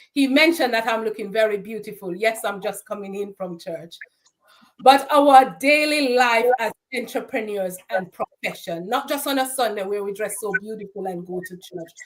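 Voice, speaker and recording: With a Jamaican accent, a woman speaks at a moderate pace and fairly high pitch, with big swings in loudness. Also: ordinary pitch variation. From Jamaica, Saint Ann parish. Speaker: certified bookkeeper and financial strategist. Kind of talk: interview conversation.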